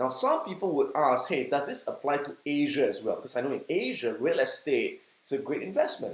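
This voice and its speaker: A man with a Singaporean accent at a fairly quick pace. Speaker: stock investing educator. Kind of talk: educational talk.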